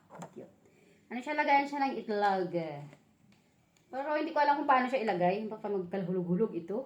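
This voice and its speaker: A woman with a fairly high pitch talks very fast with lively intonation. Her loudness swings widely, and she takes long, frequent pauses. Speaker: vlogger. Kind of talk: unboxing vlog. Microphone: no microphone used.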